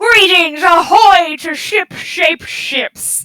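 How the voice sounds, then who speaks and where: The delivery is very slow, done in a put-on character voice. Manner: faked, exaggerated.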